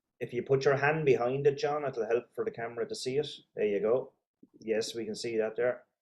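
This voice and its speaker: A man with a medium pitch talks fairly quickly, his intonation lively. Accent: Irish. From Ireland. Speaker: interview host. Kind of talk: interview.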